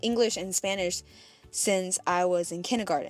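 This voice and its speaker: Over music in the background, a woman speaks at a moderate pace and medium pitch with ordinary pitch variation. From New York. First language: Fuzhou dialect of Chinese. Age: 20s. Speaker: vlogger. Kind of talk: personal life story narration.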